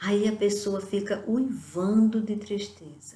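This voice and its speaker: The voice is dark, mellow and somewhat breathy, with ordinary pitch variation. It moves at a very slow pace. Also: woman. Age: 60s. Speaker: lay preacher. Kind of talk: sermon.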